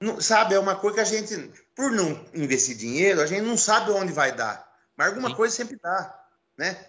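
His pitch is high. The man talks at a fairly quick pace. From Rio Claro, Brazil. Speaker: singer and musician. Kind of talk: casual chat.

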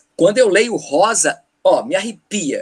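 An animated tone with very wide pitch swings carries this speech along at a moderate pace. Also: man. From Paraíba, Brazil (Campina Grande). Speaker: teacher. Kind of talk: casual chat.

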